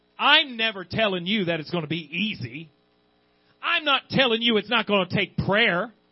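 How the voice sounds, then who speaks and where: The intonation is lively. The pace is moderate. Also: man, high pitch for a man. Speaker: pastor. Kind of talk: sermon, preached live to a church congregation. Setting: church service. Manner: fervent, exhortative, building passionately, pleading with the congregation; repetitive, halting, stumbling over words while exhorting.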